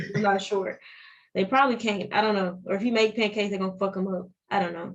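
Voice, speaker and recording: A woman's medium-pitched voice with fairly even intonation at a very fast pace. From Arkansas, near Memphis. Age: 20s. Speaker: podcast guest. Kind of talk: casual chat.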